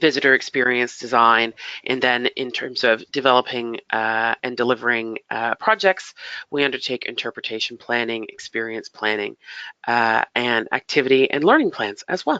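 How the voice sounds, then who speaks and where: In a Canadian accent, a woman speaks with a very deep, low pitch and fairly even intonation. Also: moderate pace. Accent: Canadian, noticeable to UK listeners. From Canada, Toronto. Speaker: heritage funding consultant. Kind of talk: webinar presentation. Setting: online webinar. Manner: hesitant, many fillers.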